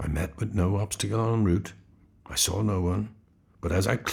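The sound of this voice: The reading comes in an unforced voice.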